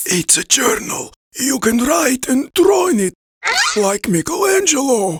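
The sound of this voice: A man does a cartoonish character voice, pitched extremely high with very wide pitch swings. He delivers it at a fairly slow pace.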